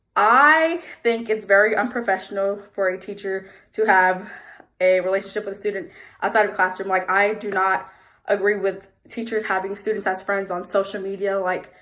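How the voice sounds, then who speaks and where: Fairly even intonation carries a bright, sharp tone. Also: woman, medium pitch for a woman. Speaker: education student. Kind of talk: self-recorded interview answers. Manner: fast; casual, with fillers.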